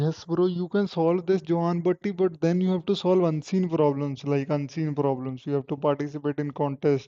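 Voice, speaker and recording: A man with a Punjabi accent and a fairly high pitch speaks at a moderate pace with hardly any pauses. His intonation is fairly even and his loudness very even. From Punjab, India. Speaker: software engineer and coding streamer. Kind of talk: live stream Q&A reading chat. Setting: live stream on laptop.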